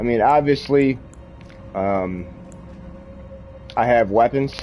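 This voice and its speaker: Over music in the background, a man at medium pitch talks very slowly with ordinary pitch variation. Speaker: gaming streamer. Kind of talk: live gameplay commentary. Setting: live stream while gaming, wearing headphones. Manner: loud.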